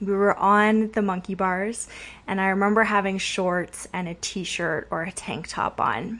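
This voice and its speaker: Over a quiet background, the speaker uses a plain, everyday voice at a fairly slow pace. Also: woman. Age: 30s. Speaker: kinesiologist and prenatal fitness coach, podcast host. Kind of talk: personal storytelling monologue.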